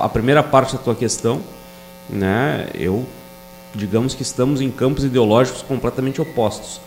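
With a southern Brazilian accent, a man speaks with ordinary pitch variation over noticeable background noise. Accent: southern Brazilian (gaúcho) Portuguese. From Rio Grande do Sul, Brazil (Bagé, Sapiranga). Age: 40s. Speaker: police chief and political candidate. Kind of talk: podcast interview.

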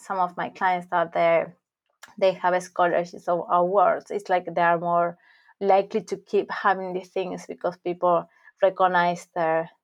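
Here a woman speaks in a Spanish accent. Her pitch is medium. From Argentina. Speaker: academic coach. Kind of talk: casual interview.

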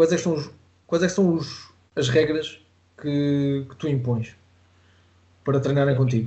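In a room with audible echo, a man with a European Portuguese accent talks at a fairly slow pace and fairly high pitch, his somewhat breathy voice keeping fairly even intonation amid big swings in loudness and long, frequent pauses. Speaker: podcast host and judo coach. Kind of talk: interview.

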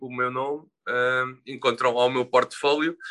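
Fairly slow speech from a man at a medium pitch. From Portugal, Sesimbra. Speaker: illustrator and tattoo artist. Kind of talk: interview. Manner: halting, many fillers and repetitions.

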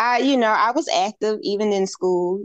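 A woman with a Southern US accent talks at a fairly slow pace with lively intonation, the sound dry and close with no echo. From Alabama, US South. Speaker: fitness instructor. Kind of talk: casual interview.

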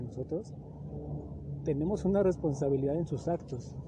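A man's fairly high voice comes across as dark and mellow, and somewhat breathy. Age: 30s. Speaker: podcast host. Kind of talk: solo motivational monologue. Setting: outdoors in a park.

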